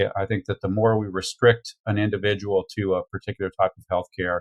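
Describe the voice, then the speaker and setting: A man's fairly low voice at a very fast pace, dry and close with no echo. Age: 60s. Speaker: veterinarian. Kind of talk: interview. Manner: halting.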